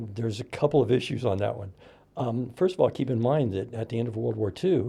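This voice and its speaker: A man's medium-pitched voice with an American accent, somewhat breathy, dark and mellow in tone. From US Midwest, Indiana. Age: 60s. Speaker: podcast host. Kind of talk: casual chat.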